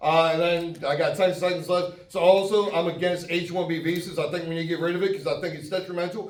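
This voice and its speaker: A man speaks loudly and very fast at a high pitch, with hardly any pauses. His intonation is monotone and flat, with noticeable background noise. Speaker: congressional candidate. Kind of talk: campaign speech.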